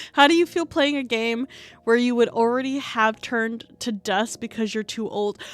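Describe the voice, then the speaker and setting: A woman speaks with an American accent at a moderate pace. Her pitch variation is ordinary. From US. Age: 30s. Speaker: streamer. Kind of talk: casual chat. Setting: live stream. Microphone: sits very close to mic.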